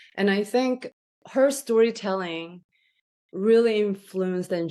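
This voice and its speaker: A woman speaks with a Korean accent and ordinary pitch variation. The background is quiet. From South Korea, moved to US at 14. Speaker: chiropractor. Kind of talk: interview. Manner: halting, many fillers.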